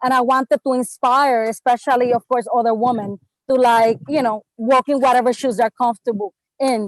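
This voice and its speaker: A woman with a Spanish accent speaks at a fairly quick pace in a high pitch. Her intonation is fairly even and her loudness very even, with a dry, close sound and no echo. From Puerto Rico (Bayamón). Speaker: travel writer and blogger. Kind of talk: panel discussion.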